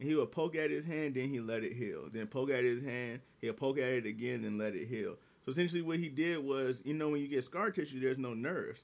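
Here a man talks at a very fast pace. His pitch is medium, with ordinary pitch variation. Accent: American. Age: 30s. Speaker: podcast co-host. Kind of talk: casual chat.

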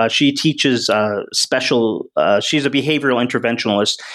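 A plain, everyday voice moves at a fairly quick pace in a very clean recording with a silent background. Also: man. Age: 40s. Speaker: author and improv comedian. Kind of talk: casual chat.

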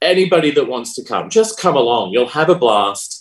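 A man speaks with an Australian accent. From South Australia. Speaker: pole dancer and performer. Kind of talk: casual interview.

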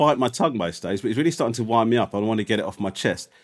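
An unforced reading voice carries the passage.

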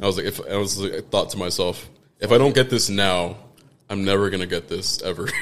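Speaking very fast, a man keeps to a fairly low pitch. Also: fairly even intonation. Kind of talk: casual chat.

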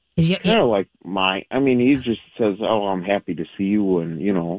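A man's fairly low voice at a moderate pace, with ordinary pitch variation and a dry, close sound free of echo. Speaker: radio show caller. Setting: phone. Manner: calm, easygoing.

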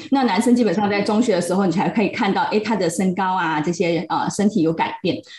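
Over noticeable background noise, a woman of medium pitch talks at a very fast pace with hardly any pauses and ordinary pitch variation. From Malaysia, Pahang. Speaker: psychological counselor. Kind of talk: casual chat.

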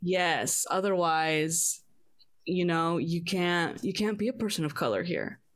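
A woman in a normal speaking voice, fairly low-pitched, at a fairly slow pace with ordinary pitch variation and very even loudness. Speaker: podcast host. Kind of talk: casual chat. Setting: video call.

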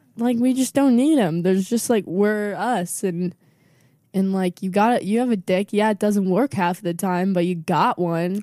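With an American accent, a woman speaks at a moderate pace in a medium pitch with ordinary pitch variation, a dark, mellow tone, very even loudness, and a dry, close sound with no echo. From Southern California (Oxnard). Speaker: comedian. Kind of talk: casual chat.

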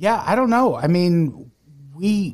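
At a fairly slow pace, a man talks in an American accent. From US Midwest (Peoria, Illinois). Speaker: podcast host. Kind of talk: casual chat. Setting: video call.

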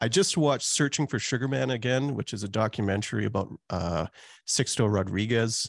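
Fairly quick, lively speech with a Canadian accent and vocal fry, in a dry, close sound with no echo. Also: man, medium pitch for a man, quiet background. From Calgary, Canada. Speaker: pastor and author. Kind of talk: casual interview chat.

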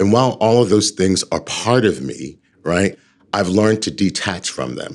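There is vocal fry in this man's voice. His pitch is fairly low. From New York City. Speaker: leadership coach and organizational development consultant. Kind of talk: interview.

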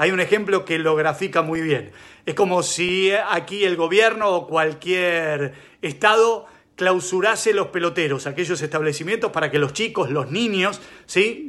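A man with a Rioplatense accent and a high pitch, bright, sharp tone, ordinary pitch variation and moderate pace, against a quiet background. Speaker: sports reporter. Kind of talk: news report.

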